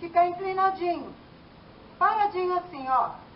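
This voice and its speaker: A woman speaks over light background noise. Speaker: fitness instructor. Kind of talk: workout tutorial instruction. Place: garden. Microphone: camera far.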